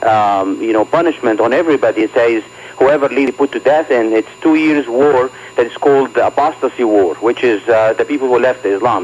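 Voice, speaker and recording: Someone talks at a fairly quick pace with ordinary pitch variation over noticeable background noise. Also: man. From Egypt. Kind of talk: radio interview.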